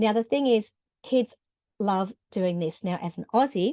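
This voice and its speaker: In an Australian accent, a woman speaks over a quiet background with a dry, close sound and no echo. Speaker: music teacher. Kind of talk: tutorial. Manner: conversational with frequent hesitations.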